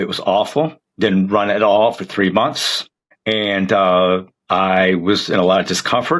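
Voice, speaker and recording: An unremarkable speaking voice from a man, fairly low in pitch with ordinary pitch variation, at a fairly slow pace, on a very clean recording with a silent background. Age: 60s. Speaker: marathon runner. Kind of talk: podcast interview.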